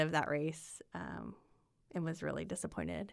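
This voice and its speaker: A woman with a Midwestern American accent at a moderate pace, in a very clean recording with a silent background. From Indiana. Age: 40s. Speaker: amateur runner. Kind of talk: casual chat. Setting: in person.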